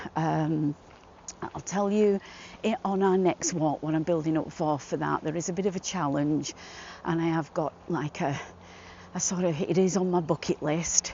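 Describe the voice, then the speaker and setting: A woman with a Manchester accent speaks at a fairly low pitch with fairly even intonation. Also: moderate pace. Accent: northern English (Manchester area). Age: 60s. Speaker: walking vlogger. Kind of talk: casual chat to camera while walking. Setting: outdoors in gardens. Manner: hesitant, many fillers.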